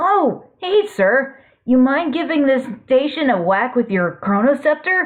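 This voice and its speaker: A put-on character voice, female-sounding and high-pitched, speaks. The pace is fairly slow. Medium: read story. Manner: excitable, fussy.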